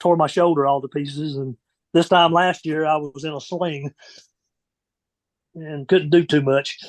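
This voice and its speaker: A man's fairly high voice with monotone, flat intonation. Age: 70s. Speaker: retired racing pit crew member. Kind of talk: casual chat. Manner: halting.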